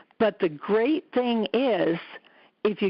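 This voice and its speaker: Speaking at a very slow pace, a woman uses a fairly high pitch. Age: 60s. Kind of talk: testimonial interview answer. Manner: casual, conversational.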